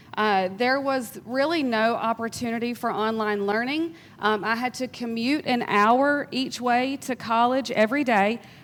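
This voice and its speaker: In a very clean recording with a silent background, a woman with a Georgia accent speaks fairly slowly, her fairly high pitch following fairly even intonation. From US South, South Georgia. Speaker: workforce development professional. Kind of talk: panel discussion. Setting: stage with audience.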